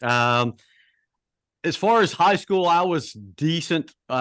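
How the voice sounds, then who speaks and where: A man speaks at a fairly slow pace with a slight Southern US accent. The background is quiet. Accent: slight Southern twang. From US South (Charlotte, North Carolina). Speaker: track and field coach. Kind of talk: podcast interview. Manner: hesitant, many fillers.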